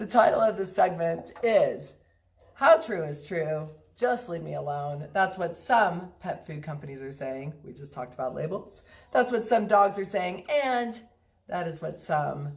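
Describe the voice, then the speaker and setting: The voice is somewhat breathy, moving at a fairly slow pace with big swings in loudness. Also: woman. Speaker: pet food company founder hosting a live stream. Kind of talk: casual live stream talk.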